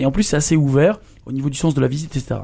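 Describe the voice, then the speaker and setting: Delivered at a fairly quick pace, the speech carries a dark, mellow tone. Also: man. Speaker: podcast host. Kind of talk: casual interview.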